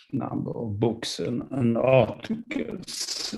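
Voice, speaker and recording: The voice has a Swedish accent and a dark, mellow tone. The pace is very slow. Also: man. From Sweden. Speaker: professor. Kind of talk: lecture. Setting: video call. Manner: halting, many fillers.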